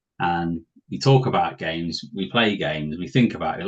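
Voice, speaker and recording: With a British accent and a relaxed tone, a man talks at a very deep, low pitch with ordinary pitch variation. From southwest England. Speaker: podcast host, board game enthusiast. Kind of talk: casual chat. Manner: relaxed, informal.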